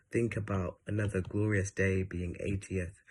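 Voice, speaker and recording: A somewhat breathy man, fairly slow, in a monotone, flat intonation. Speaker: poet. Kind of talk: poetry reading. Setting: online event. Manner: halting.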